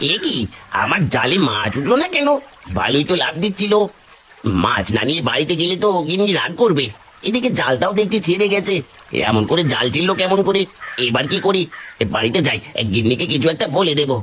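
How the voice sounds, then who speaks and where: A man performs a cartoonish character voice pitched high. He talks at a moderate pace. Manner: hesitant, stammering when scared.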